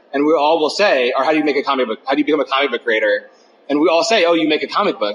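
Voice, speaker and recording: A man's fairly high voice at a very fast pace, very even in loudness, with ordinary pitch variation and noticeable background noise. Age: 40s. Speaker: comics writer and artist. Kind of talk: interview. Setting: on site at a comics convention. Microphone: phone recorder, poor quality.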